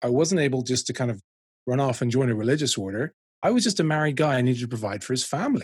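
Very fast and somewhat breathy, a man with a Dublin accent speaks at a medium pitch in a dry, close sound with no echo. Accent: Dublin Irish. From Ireland, Dublin. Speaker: ministry director. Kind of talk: interview.

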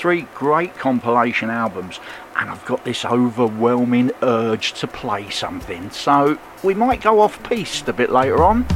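A man's medium-pitched voice in a relaxed tone, lively in intonation and moderate in pace, over noticeable background noise. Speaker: radio DJ. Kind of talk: radio show presenting, station announcer style. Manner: relaxed, friendly, conversational.

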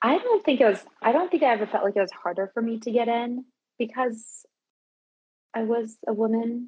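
In a normal speaking voice, a woman talks at a moderate pace with fairly high pitch and ordinary pitch variation. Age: 30s. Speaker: parkour practitioner. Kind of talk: casual chat.

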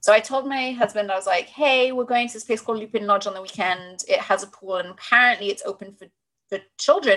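A woman with a British accent talks at a fairly quick pace and fairly high pitch. Her pitch varies in an ordinary way, while her loudness swings widely. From Britain. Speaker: sex and relationship coach. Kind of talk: casual chat. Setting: video call. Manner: witty.

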